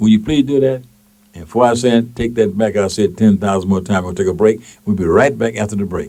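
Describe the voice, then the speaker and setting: A man speaks with a Mississippi accent. His voice is dark and mellow, pitched fairly low. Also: ordinary pitch variation, fairly quick pace. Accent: Southern US (Mississippi). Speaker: radio talk show host and station manager. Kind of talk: call-in talk radio. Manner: animated.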